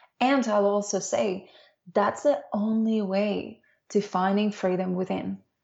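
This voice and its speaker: A woman speaks at a fairly slow pace with a medium pitch and fairly even intonation. Her voice is somewhat breathy. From Dominican Republic. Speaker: leadership and embodiment coach. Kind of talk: interview conversation.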